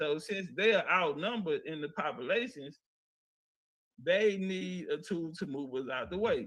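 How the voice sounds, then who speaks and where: Long, frequent pauses break up a man's fairly slow delivery. His pitch is high and his intonation lively. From Louisiana, Coushatta area. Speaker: history presenter. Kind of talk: lecture.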